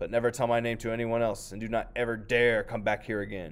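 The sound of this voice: A man talks very fast in a rumbling, put-on character voice at a medium pitch.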